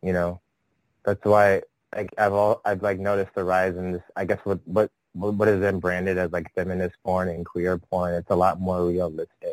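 With a Californian accent, a man talks at a moderate pace in a very deep, low pitch and monotone, flat intonation, the sound dry and close with no echo. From San Francisco Bay Area. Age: 30s. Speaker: adult performer and artist. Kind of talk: interview. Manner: hesitant, filler-heavy.

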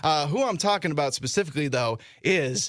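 A man speaks at a fairly quick pace with vocal fry, on a very clean recording with a silent background. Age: 20s. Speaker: sports podcast host and radio producer. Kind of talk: casual sports chat.

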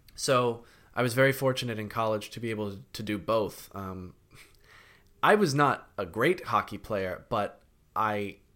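A man with an American accent speaks at a fairly low pitch and a fairly slow pace, in a bright, sharp tone. His intonation is fairly even, and the recording is very clean with a silent background. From Connecticut. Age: 30s. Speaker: actor. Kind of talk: casual chat.

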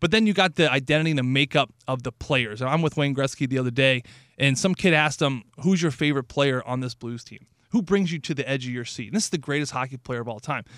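This man has an ordinary speaking voice, fairly high in pitch, with lively intonation and a fairly quick pace. The recording is very clean, with a silent background. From St. Louis, Missouri. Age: 30s. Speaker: radio hockey analyst, former pro hockey player. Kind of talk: casual chat.

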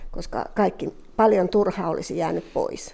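A woman's voice with a dark, mellow tone. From Finland, Southern Ostrobothnia (Jurva). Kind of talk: testimony.

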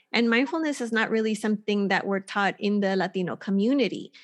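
The background is quiet as a woman talks at a fairly quick pace. Her pitch is fairly high with ordinary variation. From Texas border town, Mexican-American family. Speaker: meditation teacher and Reiki master. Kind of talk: casual interview chat; guided meditation, gently switching between English and Spanish cues. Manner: soft, hushed, with pauses for breathing.

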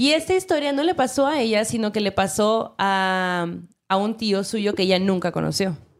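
In a very clean recording with a silent background, a woman with an ordinary speaking voice talks at a moderate pace and medium pitch, her intonation lively and her loudness very even. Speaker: podcast host. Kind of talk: casual chat.

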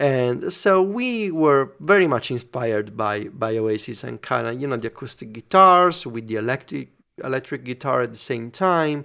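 A man with an Italian accent, moderate pace and lively intonation. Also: medium pitch for a man, very clean recording, silent background. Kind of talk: casual chat. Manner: halting.

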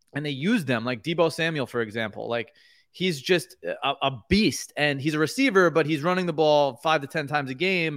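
A man with an American accent speaks in an ordinary speaking voice, fairly high in pitch, with ordinary pitch variation at a moderate pace. The recording is very clean, with a silent background. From New York. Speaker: sports card business owner. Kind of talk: casual chat.

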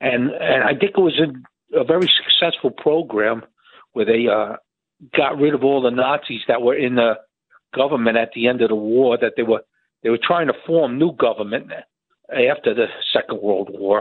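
A normal speaking voice from a man with an American accent, medium in pitch, at a moderate pace with ordinary pitch variation and very even loudness. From New Jersey. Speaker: caller. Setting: phone call.

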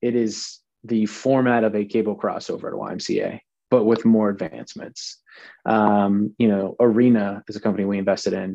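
In a flat monotone, a man with an American accent and fairly low pitch speaks at a moderate pace. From Pittsburgh, US. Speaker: fitness industry entrepreneur. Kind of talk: casual interview.

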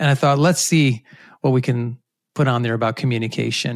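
An American man with an unremarkable speaking voice talks at a medium pitch with fairly even intonation, the sound dry and close with no echo. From US Northeast, Rhode Island. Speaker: communication professor. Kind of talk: interview.

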